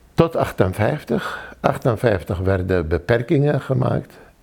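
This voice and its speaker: Lively in intonation, a man with an Arabic accent speaks at a medium pitch. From Iraq, Baghdad. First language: Arabic (speaking Dutch). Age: 60s. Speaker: refugee. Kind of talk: testimony. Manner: halting.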